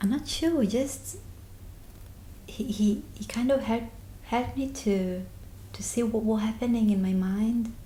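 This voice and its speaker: A woman with a non-native accent has a fairly high pitch, a dark, mellow tone and a somewhat breathy voice with ordinary pitch variation. She speaks at a fairly slow pace with long, frequent pauses, and audible room echo surrounds her. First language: not English. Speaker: therapy client. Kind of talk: interview about personal experience. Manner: halting.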